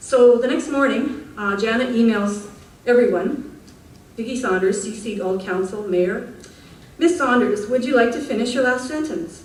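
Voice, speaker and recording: A woman talks in a fairly high pitch. Noticeable background noise and audible room echo come through. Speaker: public speaker at council meeting. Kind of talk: reading aloud. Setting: council meeting with audience.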